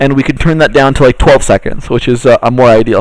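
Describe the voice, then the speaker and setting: An unremarkable speaking voice, a man's, sits at a fairly high pitch with ordinary pitch variation. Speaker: workshop instructor. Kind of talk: tutorial.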